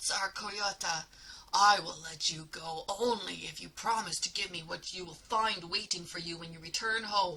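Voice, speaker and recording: A woman at medium pitch growls in a put-on character voice. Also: moderate pace. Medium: read story. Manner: gurgling, menacing.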